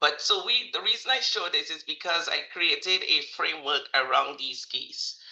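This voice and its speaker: The speaker has a slight Caribbean accent and talks at a moderate pace. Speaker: leadership and agile consultant. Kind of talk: webinar presentation. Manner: animated, laughing.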